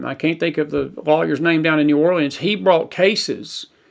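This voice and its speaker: Ordinary pitch variation marks the speech of a man whose pitch is fairly high. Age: 60s. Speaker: news and faith talk show host. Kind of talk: live stream commentary. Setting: live stream. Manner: repetitive, animated.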